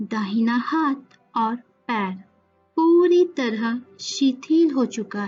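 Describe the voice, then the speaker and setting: With music in the background, a woman speaks in a calm, soothing tone at a high pitch. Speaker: yoga nidra guide. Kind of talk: guided meditation. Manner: slow, calm, soothing.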